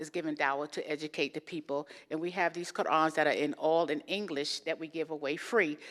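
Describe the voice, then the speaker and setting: This woman's voice is very deep and low, with a slight New York accent and monotone, flat intonation. She talks at a fairly quick pace with hardly any pauses. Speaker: guest speaker. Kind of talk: interfaith talk. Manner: fast.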